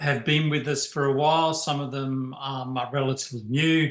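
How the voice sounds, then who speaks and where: With an Australian accent, a man speaks at a moderate pace in a bright, sharp tone, his medium-pitched voice monotone and flat. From Tasmania, Australia. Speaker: chief scientific officer of a charity. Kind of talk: presentation. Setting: video call. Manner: hesitant, many fillers.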